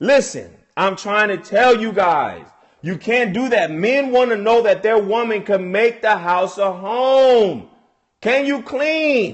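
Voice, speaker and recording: Animated and with lively intonation, a man speaks at a fairly slow pace. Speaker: relationship advice livestreamer. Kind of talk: casual livestream talk. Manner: animated, preachy; loud, yelling.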